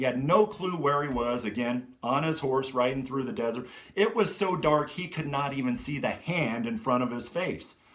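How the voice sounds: Text read in a natural reading voice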